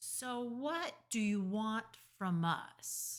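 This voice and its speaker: A female-sounding put-on character voice with a fairly high pitch. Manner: growling, wary.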